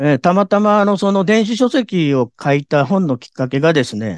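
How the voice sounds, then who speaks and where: Recorded dry and close with no echo over a quiet background, a man speaks at a moderate pace and high pitch with very wide pitch swings. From Japan, Kobe. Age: 60s. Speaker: life planning consultant. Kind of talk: interview. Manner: polite formal.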